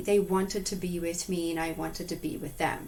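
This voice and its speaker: A woman's voice with audible room echo. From Zimbabwe. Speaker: animal communicator and hypnotherapist. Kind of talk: interview.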